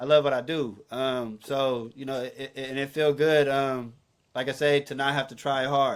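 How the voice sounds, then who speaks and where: An American-accented man speaks at a moderate pace and medium pitch, with monotone, flat intonation and big swings in loudness. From Northern California. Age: young. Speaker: photographer and entrepreneur. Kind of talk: casual interview chat.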